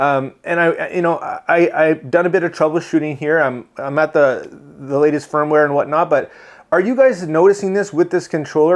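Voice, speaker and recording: A man speaks in an animated tone at a fairly high pitch, with ordinary pitch variation over a quiet background. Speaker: tech YouTuber, drone reviewer. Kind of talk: casual chat, product review. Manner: fast.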